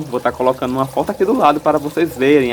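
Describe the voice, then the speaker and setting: Noticeable background noise fills the clip. Over it, a man speaks with ordinary pitch variation. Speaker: gardening YouTuber. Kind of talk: tutorial.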